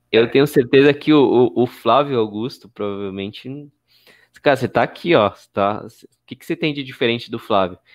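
Against a quiet background, a man of medium pitch speaks fairly quickly with ordinary pitch variation. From Brazil, periphery. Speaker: live-stream host, entrepreneur. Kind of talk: live-stream interview. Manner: casual, animated.

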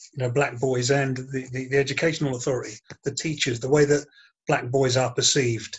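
A man at a fairly quick pace, fairly high in pitch and somewhat breathy. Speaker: podcast host moderating panel. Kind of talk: panel discussion podcast.

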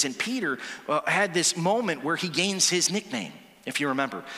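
A man's raised, projected voice, high-pitched with very wide swings, at a moderate pace over noticeable background noise. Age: 40s. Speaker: pastor. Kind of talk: sermon. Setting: church. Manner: animated.

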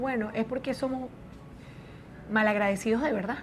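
A woman speaks fairly quickly, her intonation fairly even, with noticeable background noise behind her. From Venezuela, Caracas. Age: 40s. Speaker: media personality. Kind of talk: interview.

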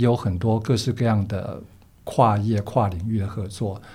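A somewhat breathy, dark and mellow tone with ordinary pitch variation at a moderate pace. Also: man. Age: 60s. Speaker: podcast host. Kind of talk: interview.

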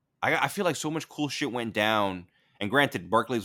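Talking at a very fast pace with lively intonation, a man with an American accent has a bright, sharp tone. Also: very clean recording, silent background. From New York, the Bronx. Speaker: podcast host. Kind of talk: casual chat.

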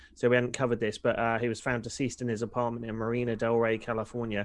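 Here a man speaks at a fairly quick pace and medium pitch, in an unremarkable speaking voice. The background is quiet. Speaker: wrestling podcast co-host. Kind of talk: casual banter, wrestling discussion.

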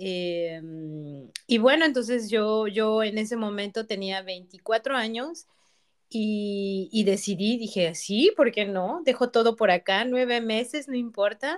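A woman speaks at a very slow pace with a fairly high pitch. The recording is very clean, with a silent background. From Mexico. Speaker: industrial designer. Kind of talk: casual chat.

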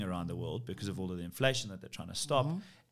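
A man at a very fast pace with lively intonation and vocal fry, on a very clean recording with a silent background. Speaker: commercial real estate CEO. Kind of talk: interview.

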